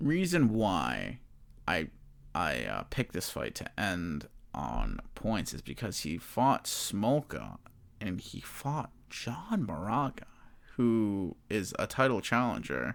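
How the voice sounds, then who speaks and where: Mumbling at a very slow pace, a man with a fairly low pitch and vocal fry makes very wide pitch swings, on a very clean recording with a silent background. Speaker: MMA betting podcaster. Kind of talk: casual podcast talk. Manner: mumbling, stumbling, stuttering.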